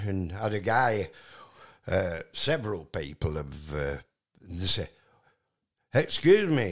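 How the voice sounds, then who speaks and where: In a very clean recording with a silent background, a man with a Yorkshire accent talks fairly slowly, his pitch swinging very widely. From Yorkshire, Barnoldswick (West Riding). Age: 80s+. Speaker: retired truck driver. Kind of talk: casual chat. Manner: halting.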